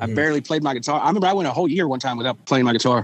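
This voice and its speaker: In a Southern Texas accent, a man talks with a fairly high pitch and ordinary pitch variation. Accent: Southern Texan. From Texas Gulf Coast. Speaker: musician. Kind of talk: casual interview chat.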